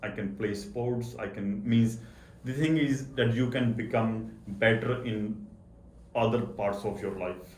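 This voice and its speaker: Somewhat breathy and medium in pitch, a man speaks at a fairly slow pace with fairly even intonation. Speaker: accountant. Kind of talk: interview answer.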